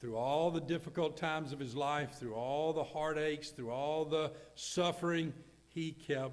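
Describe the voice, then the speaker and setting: A man speaks with a Southern US accent at a moderate pace. Audible room echo surrounds his voice. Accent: Southern US (Georgia). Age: 70s. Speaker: pastor. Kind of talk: funeral sermon.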